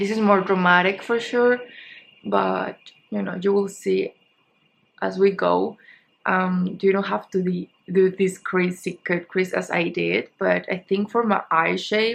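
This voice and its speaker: Someone speaks with a Spanish accent at a fairly slow pace. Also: woman. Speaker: beauty vlogger. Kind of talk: makeup tutorial. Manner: casual, halting.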